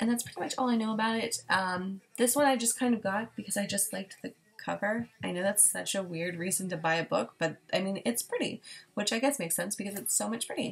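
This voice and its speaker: At a fairly quick pace, a woman speaks in a somewhat breathy voice. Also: medium pitch for a woman, ordinary pitch variation. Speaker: book vlogger. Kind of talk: casual chat. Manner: fast.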